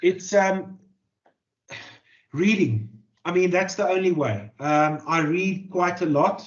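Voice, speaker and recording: Very slow pace with ordinary pitch variation and long, frequent pauses. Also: man, high pitch for a man. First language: Afrikaans. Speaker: journalist and author. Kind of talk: interview. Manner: halting, many fillers and repeated words.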